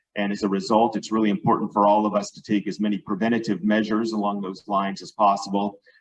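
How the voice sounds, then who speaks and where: A man talks at a fairly quick pace with a fairly low pitch. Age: 60s. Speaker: lawyer and brain injury advocate speaker. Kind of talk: club talk with slides. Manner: halting, many fillers and restarts.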